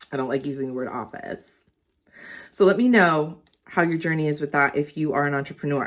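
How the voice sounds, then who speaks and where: A woman with a very deep, low pitch and an animated tone, at a fairly quick pace, on a very clean recording with a silent background. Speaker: lifestyle vlogger. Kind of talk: casual vlog talk to camera. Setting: home studio. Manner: fast.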